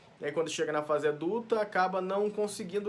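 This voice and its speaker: A man at a fairly quick pace with ordinary pitch variation, amid noticeable background noise. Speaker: pastor teaching Bible study. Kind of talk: Bible study teaching. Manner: fast; halting, with frequent self-corrections.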